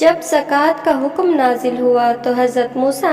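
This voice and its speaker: With music playing behind her, a woman talks at a high pitch and with fairly even intonation. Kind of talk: religious story narration.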